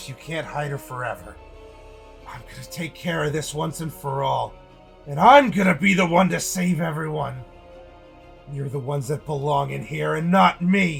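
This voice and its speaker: Over clear background music, a man does a put-on character voice at a fairly high pitch. His pace is moderate. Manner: mad, shouting.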